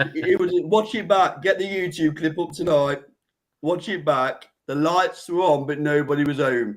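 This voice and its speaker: A man with an East Midlands accent talks at a moderate pace in a fairly high pitch with ordinary pitch variation. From East Midlands, England (near Nottingham). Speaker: boxing show host. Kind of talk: heated debate. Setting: live online show. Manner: animated.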